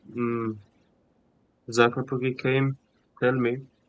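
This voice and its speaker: Monotone and flat, the man's medium-pitched voice hardly moves in intonation. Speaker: gaming streamer. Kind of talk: live gameplay stream chat.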